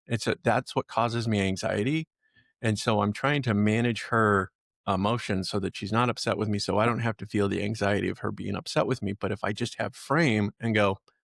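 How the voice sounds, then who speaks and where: An ordinary speaking voice at a fairly quick pace, fairly even in intonation, the sound dry and close with no echo, on a very clean recording with a silent background. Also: man, fairly low pitch for a man. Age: 60s. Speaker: podcast host, relationship coach. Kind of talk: casual chat.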